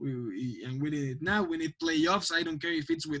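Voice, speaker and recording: A man with a non-native accent and fairly high pitch, in a dry, close sound with no echo. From Mexico, Mexico City. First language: Spanish. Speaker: football pundit. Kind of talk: podcast interview. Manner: halting, many repetitions.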